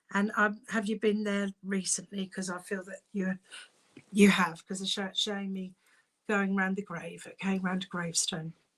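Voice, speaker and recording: A woman in a British accent speaks at a medium pitch, somewhat breathy and in a monotone, flat intonation. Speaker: psychic medium. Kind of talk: live-stream mediumship reading. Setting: live stream from home. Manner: fast.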